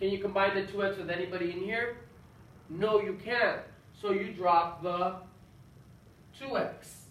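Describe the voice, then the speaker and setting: Long, frequent pauses break up speech at a moderate pace against noticeable background noise. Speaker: math teacher. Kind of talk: tutorial. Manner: animated.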